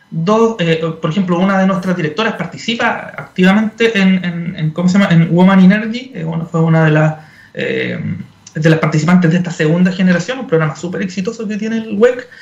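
Noticeable background noise sits under a voice moving at a fairly quick pace with ordinary pitch variation. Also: man, high pitch for a man. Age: 40s. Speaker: energy industry association executive. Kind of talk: radio interview. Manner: halting, many fillers and repeats.

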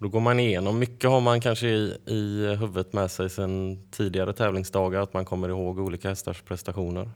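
Fairly low in pitch, a man speaks in an unremarkable speaking voice with fairly even intonation. His fairly quick delivery has hardly any pauses, on a very clean recording with a silent background. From western Sweden, Varberg. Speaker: odds setter. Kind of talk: interview.

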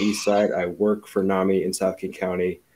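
On a very clean recording with a silent background, a man speaks at a moderate pace. His pitch is very deep and low, his intonation monotone and flat. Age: 20s. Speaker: city council candidate. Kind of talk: panel discussion. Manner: outgoing, chatty.

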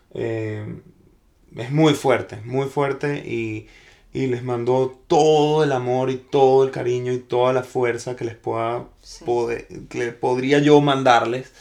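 A man speaks very slowly at a medium pitch in a monotone, flat intonation. His loudness swings widely. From Venezuela. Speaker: actor. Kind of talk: casual chat. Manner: halting.

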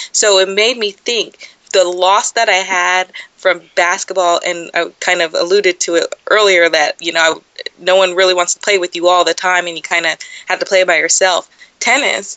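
With an American accent, a woman speaks at medium pitch and a moderate pace, her intonation fairly even, in a plain, everyday voice. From Southern California (San Dimas, San Gabriel Valley). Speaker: sports journalist and producer. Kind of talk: interview, casual chat.

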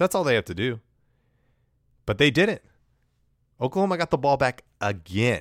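A man with vocal fry speaks at a moderate pace with very wide pitch swings on a very clean recording with a silent background. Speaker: podcast host and college football commentator. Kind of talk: casual podcast recap. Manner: conversational, self-deprecating, informal.

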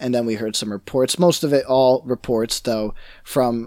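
A man with an American accent has an ordinary speaking voice at medium pitch with ordinary pitch variation. He goes at a moderate pace on a very clean recording with a silent background. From New York. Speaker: gaming podcast co-host. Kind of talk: casual chat.

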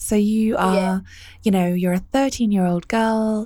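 Her accent is British. This woman talks at a medium pitch. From UK. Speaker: podcast host. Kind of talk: casual interview. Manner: warm, animated.

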